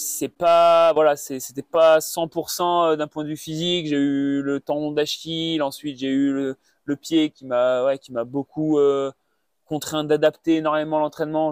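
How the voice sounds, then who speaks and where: A man's monotone, flat delivery, dry and close with no echo. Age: 20s. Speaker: mountain runner. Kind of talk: interview. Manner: halting, many fillers and repetitions.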